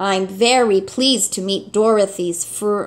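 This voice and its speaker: Using a put-on character voice, a woman sounds robotic as she speaks at a fairly slow pace. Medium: read story. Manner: monotonous, jerky, mechanical.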